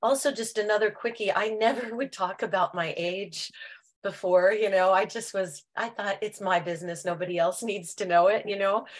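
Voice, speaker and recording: Against a quiet background, a woman talks at a moderate pace at a medium pitch in a plain, everyday voice. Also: ordinary pitch variation. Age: 60s. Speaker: product user giving testimony. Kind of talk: testimony.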